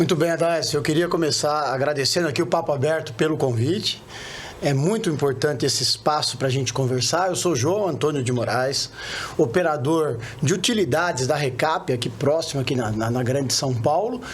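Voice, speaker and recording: A man speaks at a fairly high pitch with very even loudness. Audible room echo and noticeable background noise are both present. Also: ordinary pitch variation, moderate pace. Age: 50s. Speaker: retired oil worker, union leader, candidate. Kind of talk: interview.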